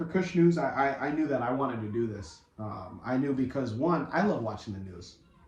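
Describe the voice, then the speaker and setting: A man speaks at a moderate pace in a medium pitch. There is audible room echo and noticeable background noise. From US (immigrant from East Africa, arrived before age five). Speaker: podcast co-host and news presenter. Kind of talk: casual chat.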